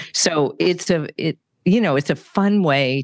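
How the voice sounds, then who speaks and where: Woman in a West Coast accent, ordinary pitch variation, quiet background. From California. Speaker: live illustrator and business consultant. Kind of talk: interview.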